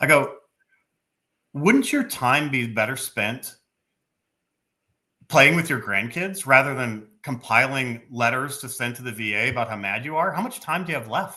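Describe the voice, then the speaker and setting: A man with a bright, sharp tone speaks at medium pitch and a moderate pace, with ordinary pitch variation and long, frequent pauses. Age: 50s. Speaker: retired army officer and former veterans commissioner. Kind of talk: podcast discussion, friendly debate.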